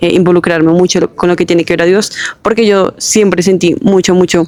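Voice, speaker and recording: Against noticeable background noise, a woman talks at a fairly quick pace in a medium pitch. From Colombia, Bogotá. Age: 20s. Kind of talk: testimony. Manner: casual with fillers (eh, em).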